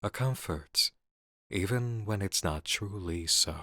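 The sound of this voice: A man's put-on character voice, low in pitch with ordinary pitch variation, bright and sharp in tone, at a slow pace, dry and close with no echo on a very clean recording with a silent background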